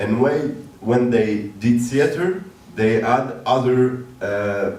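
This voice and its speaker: A man's medium-pitched voice with a French accent and ordinary pitch variation at a very slow pace, with noticeable background noise and audible room echo. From northern France. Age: 30s. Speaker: theater director. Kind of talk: interview on stage. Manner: halting, many fillers.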